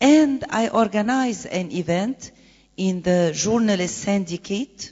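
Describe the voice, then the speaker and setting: In an Egyptian accent, a woman talks at a very slow pace with lively intonation. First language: Arabic. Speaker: conference panelist, presidential candidate. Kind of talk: conference panel talk. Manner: halting.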